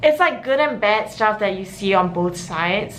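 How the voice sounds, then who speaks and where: Audible room echo carries an animated tone delivered at a moderate pace with lively intonation. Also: woman. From Singapore. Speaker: university student vlogger. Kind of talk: casual vlog talk.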